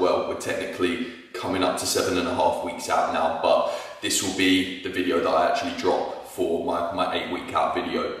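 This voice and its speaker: A man is speaking. His voice carries strong room echo. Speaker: fitness vlogger. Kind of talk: casual vlog chat. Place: kitchen.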